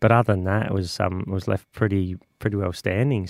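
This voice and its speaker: With an Australian accent, a man talks at a fairly quick pace in a fairly low pitch, the sound dry and close with no echo. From Australia, Adelaide. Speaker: volunteer tower caretaker. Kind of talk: radio interview.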